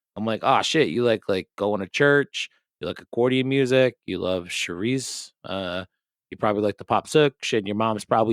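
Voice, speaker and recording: A man with a Rhode Island accent speaks at a fairly quick pace and a fairly low pitch, with ordinary pitch variation. The sound is dry and close with no echo, on a very clean recording with a silent background. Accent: Rhode Island accent, often taken for Boston. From Rhode Island, US. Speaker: podcast host. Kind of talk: casual chat. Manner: animated.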